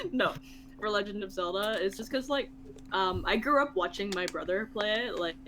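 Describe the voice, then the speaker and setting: A woman with a Canadian accent talks at a moderate pace with ordinary pitch variation. She has a plain, everyday voice. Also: medium pitch for a woman. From Canada. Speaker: podcast co-host. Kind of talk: casual chat. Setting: live stream.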